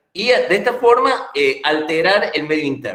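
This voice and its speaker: A man's voice with lively intonation at a moderate pace, audible room echo around it. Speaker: pediatrics lecturer, physician. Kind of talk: lecture. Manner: hesitant, many fillers.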